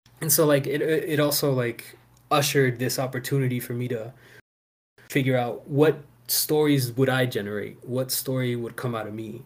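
Speaking at a moderate pace with an American accent, a man has a somewhat breathy, medium-pitched voice with fairly even intonation. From US, Houston Texas and Maryland (PG County), Salvadoran parents. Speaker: actor and fatherhood program worker. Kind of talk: casual interview chat.

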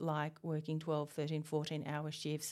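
In a slight Australian accent, a woman speaks at a moderate pace with a very deep, low pitch and a dark, mellow tone. The recording is very clean, with a silent background. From Australia, Tasmania. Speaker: university researcher, principal investigator. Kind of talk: interview. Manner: hesitant, with fillers.

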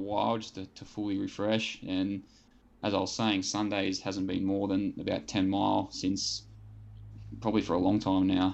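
A man's fairly low voice at a moderate pace, with monotone, flat intonation. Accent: Australian. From New South Wales south coast, Australia. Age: 20s. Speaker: middle-distance runner. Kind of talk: interview.

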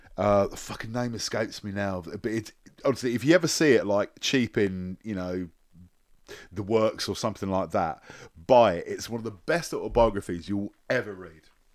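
A man with a British accent talks in a fairly low pitch with ordinary pitch variation and big swings in loudness. The recording is very clean, with a silent background. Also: moderate pace. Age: 40s. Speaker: podcast host. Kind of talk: casual chat. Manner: halting.

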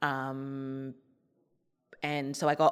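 In a very clean recording with a silent background, a woman speaks with a very deep, low pitch and monotone, flat intonation. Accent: Australian. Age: 30s. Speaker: psychologist and suicide researcher. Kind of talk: personal testimony interview.

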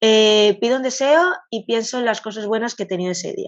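At a fairly quick pace, a woman speaks in an ordinary speaking voice with lively intonation. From Catalonia, Spain. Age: 40s. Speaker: vintage clothing shop owner. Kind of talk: interview.

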